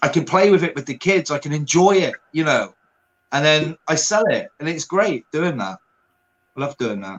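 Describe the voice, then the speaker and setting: With a strong Bristolian accent, a man talks at a moderate pace in a fairly high pitch, his lively intonation touched with vocal fry, the sound dry and close with no echo. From England, Bristol. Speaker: reseller, former plumber. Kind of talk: casual chat.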